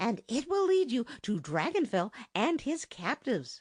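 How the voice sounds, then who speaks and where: A female-sounding, put-on character voice is high in pitch with very wide pitch swings. The pace is moderate. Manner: triumphant.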